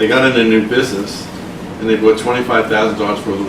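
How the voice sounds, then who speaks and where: Over noticeable background noise and audible room echo, a man talks at a very fast pace with a fairly low pitch and monotone, flat intonation. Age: 80s+. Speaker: network marketing earner. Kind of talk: interview.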